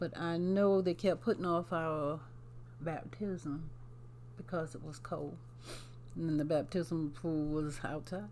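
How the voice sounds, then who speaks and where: In a South Carolina Lowcountry accent, a woman speaks very slowly in a very deep, low voice with a dark, mellow tone, ordinary pitch variation, and long, frequent pauses. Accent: Southern US (South Carolina, Lowcountry). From US South, South Carolina. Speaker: grandmother sharing life story. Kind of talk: casual interview, storytelling. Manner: halting, many fillers.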